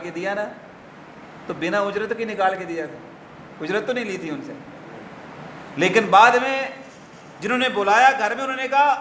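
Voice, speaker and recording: Over noticeable background noise, a man speaks. His intonation is lively. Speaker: Islamic scholar giving a sermon. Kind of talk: religious sermon (khutba-style lecture).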